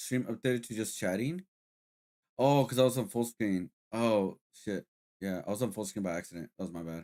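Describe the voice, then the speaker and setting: A man with a fairly low, dark, mellow voice speaks at a fairly quick pace with lively intonation, the sound dry and close with no echo. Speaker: streamer. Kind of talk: casual chat. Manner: quiet, not yelling.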